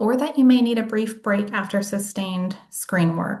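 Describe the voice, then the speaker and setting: With audible room echo, a woman with an American accent speaks at medium pitch, somewhat breathy, with ordinary pitch variation. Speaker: case manager and workshop presenter. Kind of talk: lecture.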